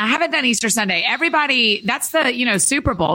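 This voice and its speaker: A loud woman at a very fast pace, with very wide pitch swings. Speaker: author and speaker. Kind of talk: casual chat. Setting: studio.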